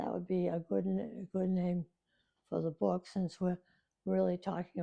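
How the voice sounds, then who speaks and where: Her voice has a dark, mellow tone and a fairly low pitch. The woman speaks at a fairly slow pace with lively intonation. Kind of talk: interview answer. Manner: hesitant.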